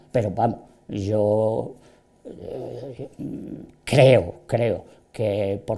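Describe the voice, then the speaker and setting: A man's dark, mellow voice at medium pitch, with ordinary pitch variation. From southern Spain, Andalusia (Málaga province). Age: 70s. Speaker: local writer and historian. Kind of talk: interview. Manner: hesitant, with repetitions and fillers.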